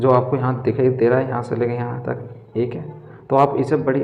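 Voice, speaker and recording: Audible room echo and noticeable background noise accompany a man speaking at a fairly slow pace with a medium pitch. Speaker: reasoning tutor for competitive exams. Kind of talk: tutorial.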